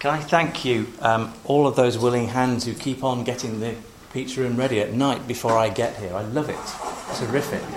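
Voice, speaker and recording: A man speaks at a moderate pace and medium pitch. His intonation is fairly even, with noticeable background noise. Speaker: congregation host. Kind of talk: casual introduction. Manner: humorous.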